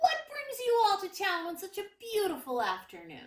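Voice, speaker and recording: Using a squeaky put-on character voice, a woman speaks at an extremely high pitch and a moderate pace. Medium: read story. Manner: easygoing, slow.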